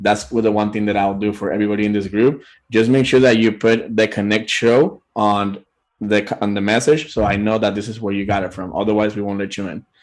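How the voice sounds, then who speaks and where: This is a man with a fairly low pitch. He speaks at a fairly quick pace. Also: fairly even intonation, quiet background. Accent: Puerto Rican. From Puerto Rico. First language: Spanish. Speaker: business owner, show guest. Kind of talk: interview; promotional offer.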